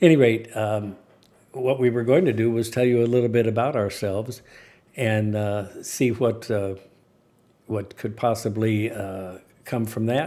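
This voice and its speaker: In an American accent, a man with a medium pitch and a dark, mellow tone talks at a fairly slow pace, leaving long, frequent pauses. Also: fairly even intonation. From United States. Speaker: retired mortician, show host. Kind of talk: casual chat. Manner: halting.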